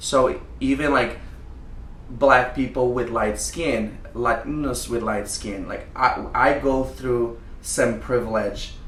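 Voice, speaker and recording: At a very slow pace, a man with a Brazilian Portuguese accent speaks amid audible room echo. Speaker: drag queen. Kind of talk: casual chat.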